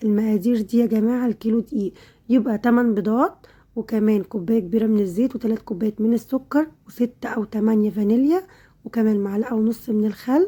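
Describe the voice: Speaking at a fast pace with few pauses, a woman has a fairly high pitch, a dark, mellow tone with a slightly husky edge, and ordinary pitch variation.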